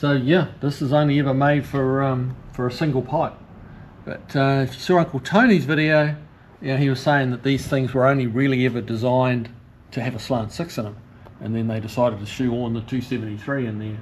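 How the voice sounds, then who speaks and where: Over light background noise, a man speaks at a moderate pace with fairly even intonation. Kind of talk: walkaround commentary. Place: garage. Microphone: phone near.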